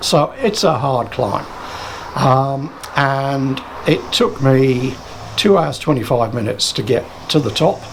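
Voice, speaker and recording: Amid noticeable background noise, a man of medium pitch speaks very slowly with long, frequent pauses and lively intonation. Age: 60s. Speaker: cycling vlogger. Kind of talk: tutorial. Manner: halting.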